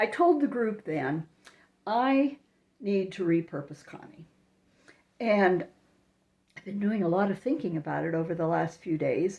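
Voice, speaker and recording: A woman speaks at medium pitch with a dark, mellow tone. Her intonation is lively, broken by long, frequent pauses. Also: fairly slow pace. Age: 70s. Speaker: network marketing coach. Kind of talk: vlog monologue.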